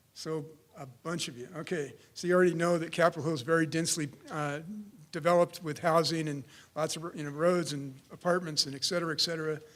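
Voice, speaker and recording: Talking at a fairly quick pace, a man speaks in a fairly high voice. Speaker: civil engineer. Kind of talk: conference presentation. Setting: conference room with audience. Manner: loud.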